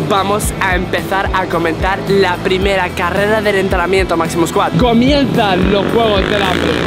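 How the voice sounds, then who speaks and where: Over loud background music, a man speaks at a fairly slow pace. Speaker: vlogger. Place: stadium. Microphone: phone near.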